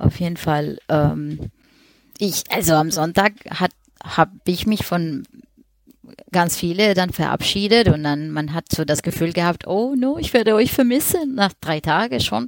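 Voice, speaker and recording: A woman with a fairly low pitch speaks in very wide pitch swings, the sound dry and close with no echo. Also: fairly slow pace. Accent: Spanish. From Colombia. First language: Spanish (speaking German). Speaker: freelance web designer. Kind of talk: casual chat.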